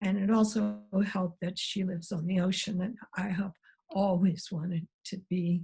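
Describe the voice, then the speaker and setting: A dark, mellow tone with flat, monotone intonation, a moderate pace and a somewhat breathy quality. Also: woman. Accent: American. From US Midwest, Missouri Ozarks. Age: 70s. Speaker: biologist, professor emerita. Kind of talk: interview.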